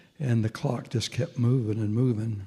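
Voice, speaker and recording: A man with an American accent, his tone dark and mellow, somewhat breathy. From Nebraska, Minden. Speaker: retired pastor. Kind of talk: personal testimony at a panel.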